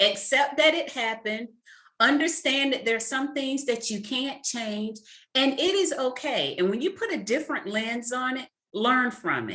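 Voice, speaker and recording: A woman's raised, projected voice, high-pitched with a bright, sharp tone, ordinary pitch variation and a moderate pace. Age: 40s. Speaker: author and career mentor. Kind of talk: interview. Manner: emphatic.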